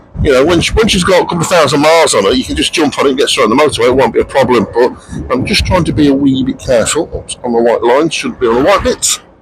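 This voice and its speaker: Over noticeable background noise, a man talks at a very fast pace. He leaves hardly any pauses. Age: 50s. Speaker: motorcycle vlogger. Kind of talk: riding commentary vlog. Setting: on a motorbike on the road. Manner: casual, chatty.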